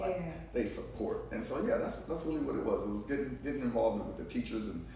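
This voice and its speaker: Noticeable background noise sits behind the speech. The man talks at a very fast pace. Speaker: poet and event organizer. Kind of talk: interview answer. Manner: casual, conversational.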